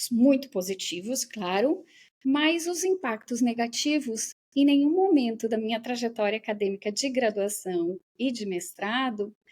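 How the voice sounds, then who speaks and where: A woman speaks at a fairly slow pace. Her fairly high voice has lively intonation. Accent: southern Brazilian. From southern Brazil, Rio Grande do Sul. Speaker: professor and researcher. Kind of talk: interview conversation.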